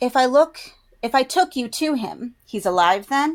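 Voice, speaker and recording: Putting on a character voice, a woman talks at a moderate pace with a high pitch. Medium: read story.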